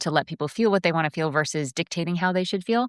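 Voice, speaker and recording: With an American accent, a woman speaks with ordinary pitch variation on a very clean recording with a silent background, the sound dry and close with no echo. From US Northeast, Connecticut. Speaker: composer and coach. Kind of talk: interview. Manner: fast.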